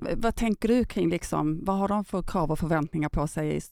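A dark, mellow voice at a fairly quick pace with ordinary pitch variation, dry and close with no echo, on a very clean recording with a silent background. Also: woman. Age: 50s. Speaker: podcast host. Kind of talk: interview.

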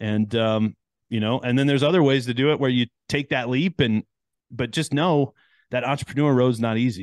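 A man with an American accent, a plain, everyday voice, ordinary pitch variation and a fairly quick pace. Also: medium pitch for a man. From US Midwest (Chicago, Detroit). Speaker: podcast host and engineer. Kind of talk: casual interview chat.

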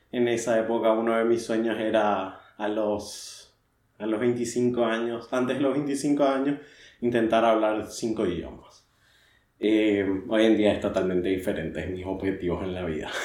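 There is audible room echo around a man's voice. He speaks at a fairly slow pace with ordinary pitch variation. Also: medium pitch for a man. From Paraguay. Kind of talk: personal monologue, confessional. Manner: halting, repeats words.

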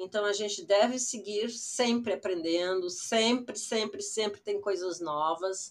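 A woman speaks in a normal speaking voice at a fairly slow pace, her medium pitch carrying ordinary variation. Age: 60s. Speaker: digital influencer. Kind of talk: personal storytelling monologue.

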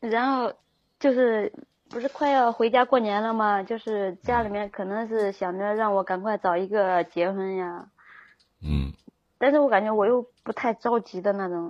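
Using an unremarkable speaking voice, a woman talks at a fairly high pitch and moderate pace with ordinary pitch variation. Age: 20s. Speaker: caller seeking relationship advice. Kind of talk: call-in advice chat.

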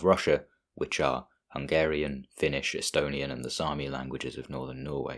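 A man's very deep, low voice with vocal fry, fairly even intonation and a fairly quick pace, on a very clean recording with a silent background. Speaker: solo podcast host. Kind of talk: solo podcast monologue on languages.

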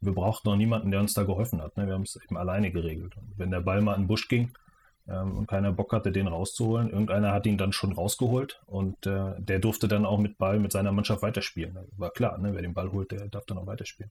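Talking at a very fast pace, a man with a fairly low, somewhat breathy voice and a dark, mellow tone keeps a monotone, flat intonation. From Mecklenburg-Vorpommern, Schwerin. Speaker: football coach educator. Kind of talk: interview.

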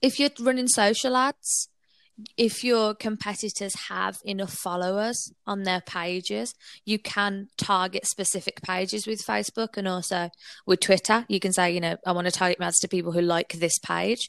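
A woman with a Brummie accent speaks at a moderate pace and a medium pitch, with ordinary pitch variation. The sound is dry and close with no echo, on a very clean recording with a silent background. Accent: Birmingham (Brummie). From Birmingham, England. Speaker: digital marketing agency owner. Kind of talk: interview.

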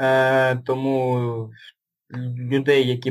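A man's voice at a medium pitch. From Luhansk, eastern Ukraine. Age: 20s. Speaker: ultramarathon runner and army veteran. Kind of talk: interview. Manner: halting.

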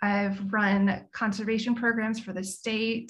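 In a somewhat breathy voice, a woman speaks at a fairly slow pace with a fairly high pitch and monotone, flat intonation. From Memphis, Tennessee. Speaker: communications specialist at an apparel company. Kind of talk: interview.

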